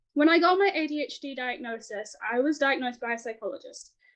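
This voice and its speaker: Here a woman talks with a New Zealand accent and lively intonation. Her loudness swings widely. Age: 20s. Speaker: author and illustrator. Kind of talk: podcast interview. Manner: fast.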